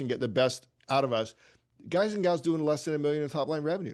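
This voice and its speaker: Over a quiet background, a man with a fairly high pitch and an animated tone talks at a very fast pace with ordinary pitch variation. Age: 60s. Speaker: attorney and legal marketing coach. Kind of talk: podcast interview.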